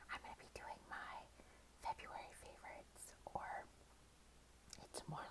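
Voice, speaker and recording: A woman is whispering. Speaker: ASMR creator. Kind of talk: casual ASMR favorites ramble. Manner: whispered.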